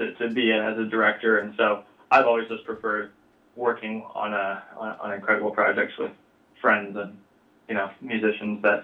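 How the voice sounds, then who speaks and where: A man is speaking. His pace is moderate. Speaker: commercial director. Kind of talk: interview.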